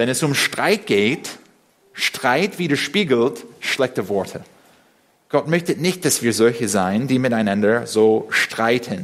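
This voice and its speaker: At a very slow pace, a man speaks with long, frequent pauses. His pitch is medium and his intonation lively. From USA. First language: English (speaking German). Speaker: preacher. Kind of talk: sermon. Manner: halting.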